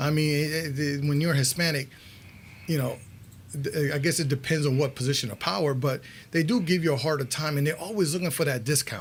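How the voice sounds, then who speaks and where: A fairly high-pitched, somewhat breathy man's voice with a strong Connecticut accent, fairly quick, with ordinary pitch variation. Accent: New Haven accent, thick. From New Haven, Connecticut, US. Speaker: radio show host. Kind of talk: interview, bilingual Spanish-English talk show.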